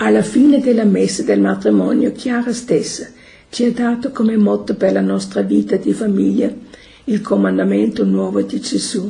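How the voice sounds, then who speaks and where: A woman with a German accent at a fairly slow pace. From Austria, Vienna. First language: German (speaking Italian). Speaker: religious community member. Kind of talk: testimony.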